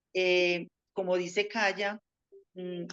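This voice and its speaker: Here a woman speaks with a Colombian paisa accent. Her pitch sits fairly low. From Colombia, Antioquia (paisa). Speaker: teacher. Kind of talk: interview.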